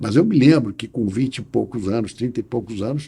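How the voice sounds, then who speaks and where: Lively in intonation, a man speaks in a dark, mellow tone that is somewhat breathy. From Brazil, Rio de Janeiro. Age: 60s. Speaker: lawyer. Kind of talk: interview. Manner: hesitant with repetitions.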